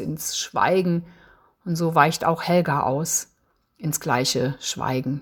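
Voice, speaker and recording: On a very clean recording with a silent background, the speech moves at a very slow pace with fairly even intonation. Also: woman. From Eifel, western Germany. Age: 60s. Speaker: novelist. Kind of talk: author presentation with reading aloud.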